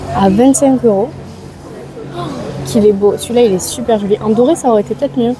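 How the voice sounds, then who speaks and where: Music plays in the background while the speaker goes at a moderate pace with ordinary pitch variation. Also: woman. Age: 20s. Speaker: vlogger. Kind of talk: casual talk to camera. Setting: outdoors.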